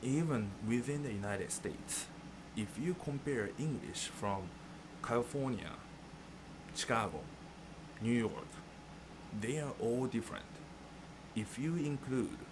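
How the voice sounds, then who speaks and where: With a Japanese accent, a man talks at a fairly slow pace in a medium pitch with ordinary pitch variation. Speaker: music teacher. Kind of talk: tutorial.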